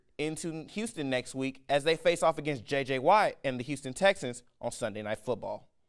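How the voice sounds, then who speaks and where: In a very clean recording with a silent background, a man with an unremarkable speaking voice talks at a fairly quick pace, his fairly high pitch moving with lively intonation. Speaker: sports broadcaster, student. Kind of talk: sports news anchoring.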